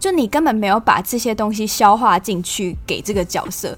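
A woman with a slight southern Taiwanese accent talks at a medium pitch and moderate pace while music plays in the background. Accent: slight southern Taiwanese accent in Mandarin. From Taiwan, Tainan (Yongkang). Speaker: podcast host, film commentator. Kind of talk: casual podcast talk and film review.

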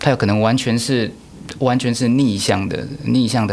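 A man is heard over noticeable background noise. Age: 30s. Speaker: orchestra conductor. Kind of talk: interview.

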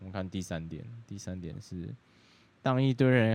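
With a dark, mellow tone, a man speaks at a fairly low pitch with ordinary pitch variation. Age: 20s. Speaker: podcast co-host. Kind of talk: casual chat.

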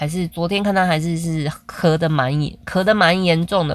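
This woman has an unremarkable speaking voice at a fairly low pitch. She talks at a moderate pace. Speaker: podcaster, mother. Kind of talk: casual monologue.

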